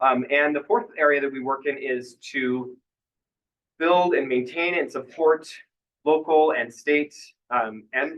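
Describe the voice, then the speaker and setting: Ordinary pitch variation marks this man's fairly high voice. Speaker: clean energy policy advocate. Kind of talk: conference presentation. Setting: conference room with audience, no mic. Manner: voice tends to trail off; many filler words. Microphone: no microphone, projecting voice.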